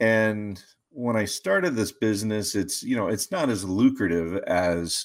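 The recording is very clean, with a silent background. A man with fairly low pitch and an unremarkable speaking voice talks at a moderate pace. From West Virginia. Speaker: financial advisor. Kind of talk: interview.

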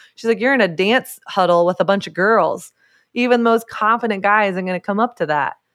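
On a very clean recording with a silent background, a woman with an unremarkable speaking voice talks at a fairly quick pace, with medium pitch and ordinary pitch variation. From US South. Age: 30s. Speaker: author and speaker. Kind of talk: interview.

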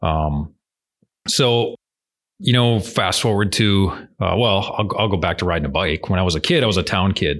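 With long, frequent pauses, a man speaks at a moderate pace and fairly low pitch, his loudness very even and his pitch varying in an ordinary way against a quiet background. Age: middle-aged. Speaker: police officer and amateur mountain biker. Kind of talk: casual interview.

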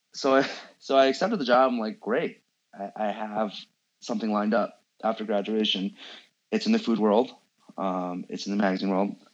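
Over a quiet background, a man with an American accent speaks at a fairly quick pace with a fairly low pitch. He takes long, frequent pauses. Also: ordinary pitch variation. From San Francisco, US. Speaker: food photographer. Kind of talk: interview.

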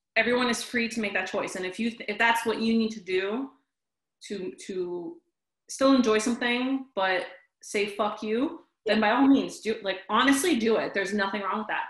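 A woman's somewhat breathy, fairly high voice at a moderate pace, with ordinary pitch variation. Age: 20s. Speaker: podcast co-host. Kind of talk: casual chat.

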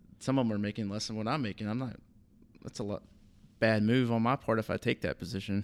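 A man speaks very fast in a Southern US accent, at a medium pitch with fairly even intonation, yet with long, frequent pauses. The sound is dry and close, with no echo. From US South, southern Alabama. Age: 30s. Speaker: assistant golf course superintendent. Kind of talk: casual interview.

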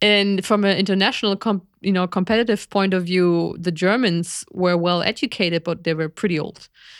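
A woman talks with a normal speaking voice at medium pitch and a moderate pace. Her intonation stays fairly even, with hardly any pauses. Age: 40s. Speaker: podcast co-host, biologist. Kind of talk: casual chat. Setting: live stream.

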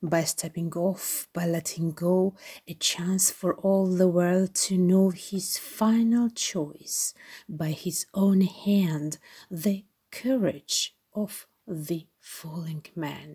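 Very slow woman's voice, medium in pitch, somewhat breathy and dark, mellow in tone, with fairly even intonation, on a very clean recording with a silent background. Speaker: library staff reader. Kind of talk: poem reading, rhyming children's-style verse.

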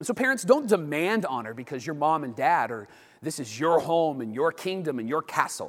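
The voice swings very widely in pitch and shifts a lot in loudness. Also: man, fairly high pitch for a man, moderate pace. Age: 40s. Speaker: teaching pastor. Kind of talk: sermon.

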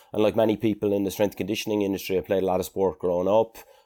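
With an Irish accent, a man speaks at a very fast pace in a very deep, low, dark and mellow voice with monotone, flat intonation, on a very clean recording with a silent background. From Ireland. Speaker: strength and conditioning coach and sports scientist. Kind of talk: interview.

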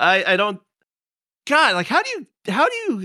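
Bright and sharp in tone, a man talks at a fairly quick pace with very wide pitch swings and vocal fry. The sound is dry and close with no echo, on a very clean recording with a silent background. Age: 50s. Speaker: gaming podcast host. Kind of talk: casual chat.

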